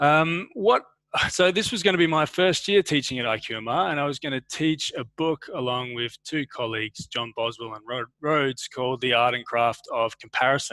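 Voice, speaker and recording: A man with an Australian accent, bright and sharp in tone, fairly high in pitch, with lively intonation at a moderate pace and a dry, close sound with no echo. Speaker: university lecturer. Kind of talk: academic webinar talk. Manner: halting.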